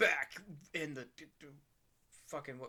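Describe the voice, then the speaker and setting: Using a put-on character voice, a man talks in a fairly high register. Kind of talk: parody comic overacting. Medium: solo performance. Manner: smug, gloating.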